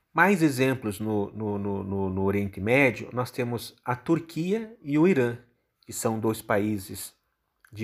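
At a very slow pace, a man with a medium-pitched voice speaks with lively intonation. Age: 50s. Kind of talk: explanatory talk.

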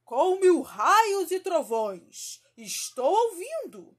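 Very slowly, a woman speaks in a put-on character voice with an extremely high pitch.

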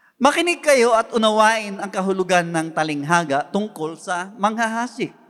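A man with a Filipino accent speaks at a fairly slow pace, his pitch swinging very widely. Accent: Filipino English and Tagalog. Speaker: pastor. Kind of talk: sermon preaching. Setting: church. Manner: earnest, exhortative preaching; formal, Tagalog mixed with English phrases.

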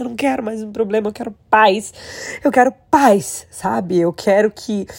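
A woman speaks at a moderate pace with a Brazilian accent. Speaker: vlogger and casino worker. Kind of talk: personal vlog monologue. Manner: emotional.

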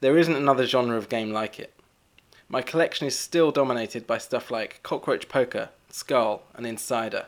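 A plain, everyday voice: a man at medium pitch, talking at a moderate pace with ordinary pitch variation. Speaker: board game writer. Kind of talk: scripted-sounding recorded segment.

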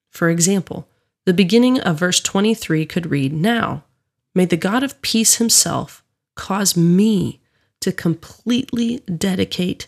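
At a very slow pace, a woman with a calm tone, medium pitch, ordinary pitch variation and very even loudness speaks in a very clean recording with a silent background and a dry, close sound with no echo. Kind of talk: guided prayer and devotional reflection prompts. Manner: calm, reverent, measured.

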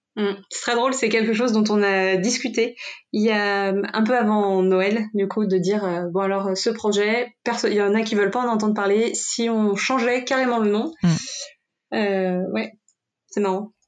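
Fairly high in pitch, a woman talks at a fairly slow pace with fairly even intonation and very even loudness. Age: 20s. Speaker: project manager. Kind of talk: coaching conversation. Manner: hesitant.

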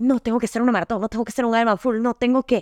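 Her voice high-pitched and animated, a woman is heard dry and close with no echo on a very clean, silent recording. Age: 20s. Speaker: podcast host. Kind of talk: casual monologue.

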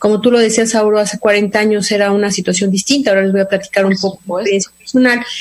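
A woman's medium-pitched voice at a very fast pace, monotone and flat, with very even loudness, hardly any pauses and noticeable background noise. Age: 50s. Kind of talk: interview.

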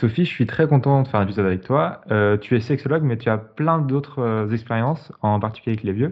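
A man with an unremarkable speaking voice, medium pitch and ordinary pitch variation, with hardly any pauses. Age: 20s. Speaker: podcast host. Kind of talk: scripted intro; podcast interview.

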